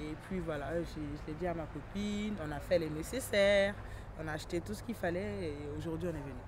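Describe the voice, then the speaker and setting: A woman talks fairly quickly, with audible room echo and noticeable background noise around her. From France (arrived at eight). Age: 20s. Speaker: young immigrant mother, visitor at detention centre. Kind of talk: documentary interview.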